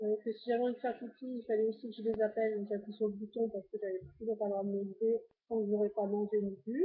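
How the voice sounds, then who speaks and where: This woman's voice sits at a fairly high pitch. It comes across as somewhat breathy. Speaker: vlogger documenting weight-loss surgery journey. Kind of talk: personal vlog, casual recounting. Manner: fast; hesitant, many fillers.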